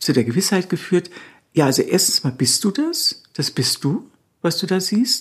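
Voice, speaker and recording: A somewhat breathy woman's voice of medium pitch at a moderate pace. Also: very clean recording, silent background. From Bavaria, Nuremberg. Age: 60s. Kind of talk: interview.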